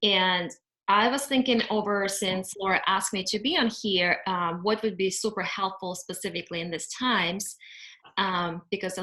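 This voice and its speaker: A woman speaks at a medium pitch and a moderate pace with a non-native accent. Her pitch varies in an ordinary way. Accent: foreign. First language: not English. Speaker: cleaning company owner. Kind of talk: webinar presentation. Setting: video call. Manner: halting with fillers.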